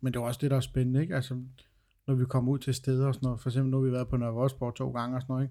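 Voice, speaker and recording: His dark, mellow voice at medium pitch stays monotone and flat as the man talks at a very fast pace. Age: 30s. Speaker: podcast host, ghost hunter. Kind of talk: casual chat.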